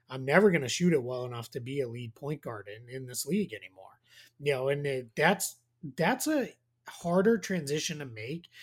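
Here a man speaks with a fairly high pitch and lively intonation. His voice is somewhat breathy. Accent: American. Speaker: basketball analyst. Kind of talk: casual chat.

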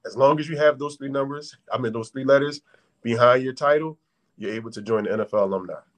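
Talking very fast in an American accent, a man has a fairly high pitch, ordinary pitch variation and big swings in loudness. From Philadelphia. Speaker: former NFL wide receiver. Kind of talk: interview.

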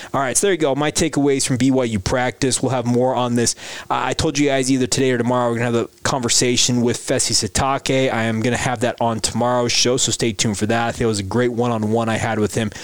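A man talks at a very fast pace with hardly any pauses, his pitch medium and his intonation fairly even. Noticeable background noise sits behind him. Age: 30s. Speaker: sports podcast host. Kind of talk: daily sports podcast monologue.

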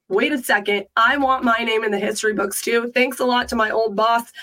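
In a plain, everyday voice, a woman talks at a fairly quick pace, her pitch fairly high with ordinary variation. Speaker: sports panelist. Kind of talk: casual sports talk.

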